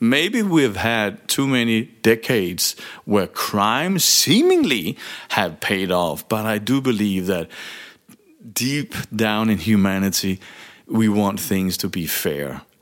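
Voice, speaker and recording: With a Danish accent, a man speaks at a very slow pace and a fairly low pitch, his intonation lively. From Denmark. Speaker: leadership coach and podcast host. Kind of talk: solo monologue podcast. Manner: halting, with frequent fillers and repetitions.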